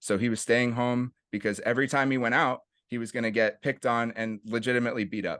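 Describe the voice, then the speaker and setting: A man talks in a Californian accent. The background is quiet. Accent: California English. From US West Coast, San Francisco East Bay (Oakland/Berkeley). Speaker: nonprofit executive director, jiu-jitsu coach. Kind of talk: casual interview.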